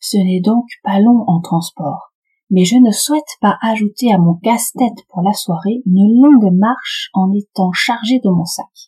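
A woman talks in a fairly high, somewhat breathy voice with a dark, mellow tone. The sound is dry and close, with no echo. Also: ordinary pitch variation, fairly slow pace. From France, Paris. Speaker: podcast host for French learners. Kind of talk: scripted narration.

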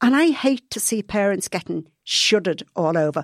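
A woman speaks in an Irish accent at a fairly high pitch and moderate pace, with lively intonation. The recording is very clean with a silent background and a dry, close sound with no echo. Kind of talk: casual chat.

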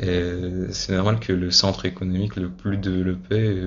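A man's very deep, low voice, somewhat breathy, in a monotone, flat intonation. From Russia (Moscow). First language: Russian (speaking French). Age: 20s. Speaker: university student. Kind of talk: interview. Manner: halting, many hesitations and repeated words.

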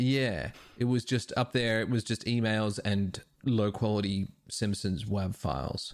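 In a normal speaking voice, a man talks at a fairly slow pace with a fairly low pitch, ordinary pitch variation and very even loudness. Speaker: comedian. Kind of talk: casual chat.

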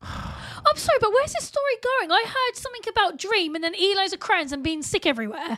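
A woman projects her voice at an extremely high pitch, swinging very widely up and down. She talks at a fairly quick pace with hardly any pauses. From England. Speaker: podcast co-host. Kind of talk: casual chat.

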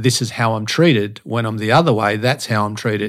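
Speaking with an Australian accent at a moderate pace, a man with a medium-pitched voice is heard on a very clean recording with a silent background. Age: 50s. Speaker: motivational speaker and fitness coach. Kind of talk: casual chat. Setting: studio. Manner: animated.

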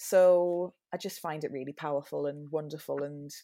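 In a Geordie accent, the speaker talks with monotone, flat intonation on a very clean recording with a silent background. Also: woman. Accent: Geordie (Newcastle). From northern England, Newcastle. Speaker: musical theatre performer. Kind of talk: casual interview chat. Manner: hesitant, with frequent fillers.

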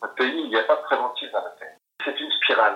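The man talks at a fairly quick pace. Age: 50s. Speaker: recovering gambler. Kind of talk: interview testimony. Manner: halting, frequent repetitions.

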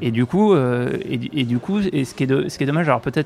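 Talking fast, a man shows vocal fry and a slightly mellow tone.

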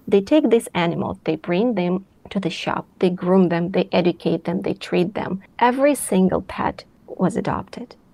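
A woman's dark, mellow voice with a Russian accent at a moderate pace. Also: medium pitch for a woman, ordinary pitch variation. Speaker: philanthropy co-chair, former journalist. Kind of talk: interview. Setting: remote recording.

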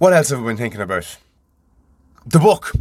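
His pitch rises and falls over a very wide range. The voice is a man's. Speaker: podcast host. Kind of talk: solo monologue, casual. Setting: home studio in a van. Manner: informal, swearing, stream-of-consciousness.

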